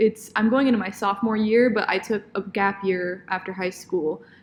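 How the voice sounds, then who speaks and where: With medium pitch and ordinary pitch variation, a woman speaks in an unremarkable speaking voice. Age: 20s. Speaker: podcast co-host, dance student. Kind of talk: casual chat.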